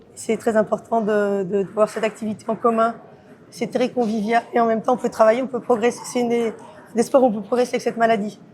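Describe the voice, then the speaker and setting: Talking at a very fast pace, a woman with a fairly high pitch keeps a flat, monotone delivery. Background noise is noticeable. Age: 50s. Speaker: amateur table tennis player with Parkinson's. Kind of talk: interview. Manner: halting, many repetitions.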